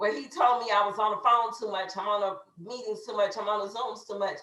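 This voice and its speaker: An American accent comes through in an animated tone at a moderate pace. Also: woman. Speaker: network marketing team leader. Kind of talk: motivational training talk. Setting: video call. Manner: loud.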